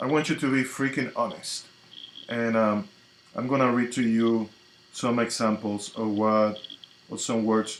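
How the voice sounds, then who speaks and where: A man speaks at a medium pitch with fairly even intonation. Noticeable background noise sits behind him. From Dominican Republic, Santiago. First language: Spanish. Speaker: tarot reader and spiritual coach. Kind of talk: live stream chat. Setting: live stream on social media.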